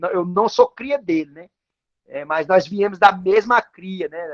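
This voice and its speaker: A man at a fairly slow pace, dry and close sound without echo. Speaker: capoeira teacher and pastor. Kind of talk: life story in a talking circle. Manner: halting.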